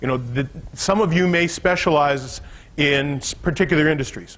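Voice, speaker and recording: A man speaks with a fairly high pitch and ordinary pitch variation. It is an ordinary speaking voice. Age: 60s. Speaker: business coach. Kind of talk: seminar talk to a live audience. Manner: conversational, some false starts.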